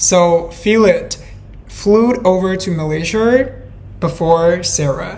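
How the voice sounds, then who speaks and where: A woman with a non-native accent speaks very slowly at a medium pitch, with audible room echo and noticeable background noise. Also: ordinary pitch variation. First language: not English. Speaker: true crime podcaster. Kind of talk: storytelling narration. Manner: hesitant, with fillers.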